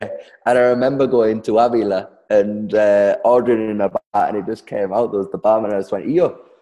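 Geordie accent with a dark, mellow tone, fairly even intonation and a fairly quick pace. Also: man, medium pitch for a man. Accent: Geordie, broad, northeast English. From Darlington, northeast England. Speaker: guest, social media creator teaching Spanish quirks. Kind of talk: casual interview chat.

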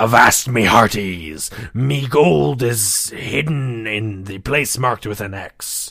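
A man puts on a character voice with a medium pitch. He talks at a fairly slow pace with hardly any pauses. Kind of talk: pirate speech.

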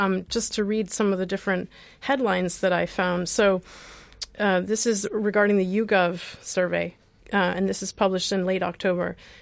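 On a very clean recording with a silent background, a woman uses an ordinary speaking voice with an American accent. Her pitch is medium, her pace fairly quick, and her intonation fairly even. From US Midwest. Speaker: radio host, co-founder of a repair project. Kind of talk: radio talk show, casual chat. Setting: radio studio.

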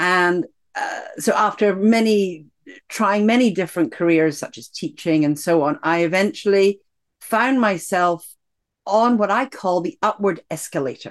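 Lively intonation marks this speech in a Scottish accent at a fairly slow pace. The background is quiet. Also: woman, medium pitch for a woman. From Scotland. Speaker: executive coach and author. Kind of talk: interview about her book and life story.

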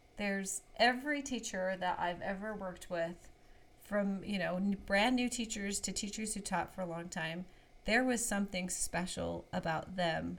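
A woman with a normal speaking voice, fairly slow pace, medium pitch and ordinary pitch variation. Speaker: kindergarten teacher podcast host. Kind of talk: casual chat.

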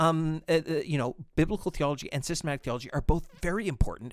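On a very clean recording with a silent background, a man with a fairly high pitch and vocal fry talks at a very fast pace. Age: 40s. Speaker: pastor and podcast co-host. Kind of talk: casual chat. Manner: halting, many repetitions and fillers.

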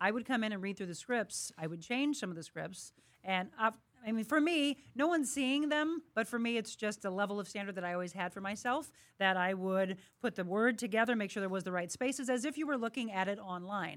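This woman has an ordinary speaking voice, fairly high in pitch, moving at a fairly quick pace with lively intonation. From St. Louis, Missouri (Florissant). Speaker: TV and radio host, fitness trainer. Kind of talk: interview. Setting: studio.

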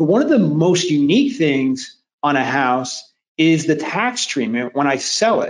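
A man with a normal speaking voice talks at a fairly slow pace. His pitch is fairly high, and his intonation is lively. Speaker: webinar host. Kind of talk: webinar presentation. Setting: online video call.

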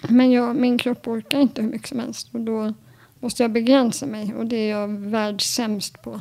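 Over a dark, mellow tone, a woman speaks at a fairly high pitch and a moderate pace, her intonation monotone and flat. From Stockholm archipelago, Sweden. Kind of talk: interview.

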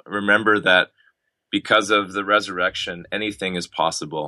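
A Canadian-accented man's bright, sharp voice in a flat monotone, at a moderate pace over a quiet background. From Canada, Ottawa. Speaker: pastor. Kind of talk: interview testimony. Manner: halting.

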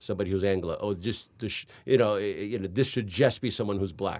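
This man has an unremarkable speaking voice. His pitch is fairly low, with ordinary pitch variation. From Miami, Florida (Hialeah), Cuban-American family. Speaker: film and television director. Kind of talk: casual interview. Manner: frequent fillers and repetitions.

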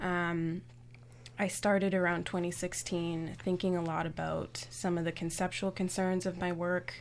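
A woman with a Canadian accent at a fairly slow pace, monotone and flat, on a very clean recording with a silent background. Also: fairly low pitch for a woman. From Toronto, Canada. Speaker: visual artist. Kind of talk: radio interview. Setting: radio studio.

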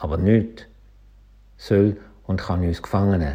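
Speaking at a very slow pace, a man with a Schaffhausen accent sounds somewhat breathy, with a dark, mellow tone. The recording is very clean, with a silent background. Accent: Swiss German, Schaffhausen dialect. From Switzerland, Schaffhausen. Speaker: pastor. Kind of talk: short radio devotional.

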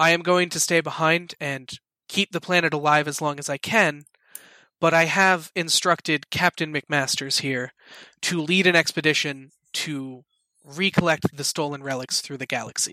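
A man's put-on character voice at a fairly high pitch and moderate pace, on a very clean recording with a silent background. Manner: grave, earnest, dry.

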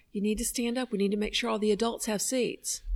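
A woman's very fast speech in a Southern US accent, pitched fairly high. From US South. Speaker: podcast co-host. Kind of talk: casual chat. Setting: conference venue.

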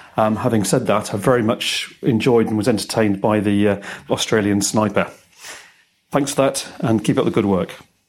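A man talks at a moderate pace in a fairly low pitch, with ordinary pitch variation and very even loudness. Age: 50s. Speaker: listener. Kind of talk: voicemail. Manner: halting.

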